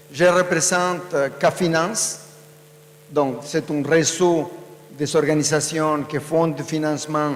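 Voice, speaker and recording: A man speaks at a fairly slow pace with a fairly high pitch and fairly even intonation. Audible room echo and noticeable background noise surround his voice. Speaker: panelist, social finance network representative. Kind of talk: conference panel talk. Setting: conference stage with audience.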